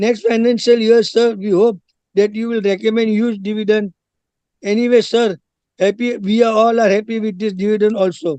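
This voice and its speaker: A man talks at a moderate pace in a high pitch with a dark, mellow tone. His intonation stays monotone and flat. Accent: Indian. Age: 80s+. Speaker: shareholder. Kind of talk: shareholder speech at company meeting. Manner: formal; halting.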